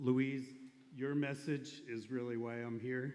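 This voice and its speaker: A man with an American accent speaks at a medium pitch and a fairly slow pace. His intonation is fairly even, and the room echo is audible. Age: 60s. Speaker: ethical society member and leader. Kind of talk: personal testimony speech.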